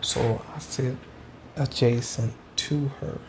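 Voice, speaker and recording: A man's voice with noticeable background noise. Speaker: podcaster vlogging about his life. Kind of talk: casual solo monologue, diary-style. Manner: casual, rambling, stream-of-consciousness.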